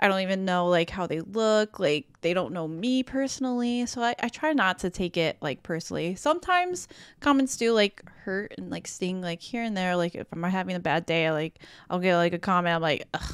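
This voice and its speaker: A woman with a Chicago accent speaks at a medium pitch and a fairly quick pace. Her intonation is lively, on a very clean recording with a silent background. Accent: Chicago American English. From US Midwest, Chicago. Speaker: gaming content creator. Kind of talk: casual chat. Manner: giggly, uses many fillers.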